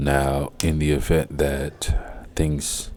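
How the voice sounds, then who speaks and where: With a Haitian accent, a man speaks in a very deep, low pitch and a monotone, flat intonation. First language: Haitian Creole. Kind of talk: casual commentary. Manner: halting, repetitive.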